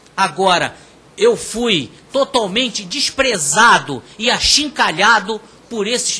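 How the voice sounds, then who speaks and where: This man speaks very slowly in a raised, projected voice, high in pitch with lively intonation. Noticeable background noise is present. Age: 60s. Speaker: INSS claimant speaking at public hearing. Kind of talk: public testimony. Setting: public hearing in parliament chamber. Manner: impassioned; halting, repeats words.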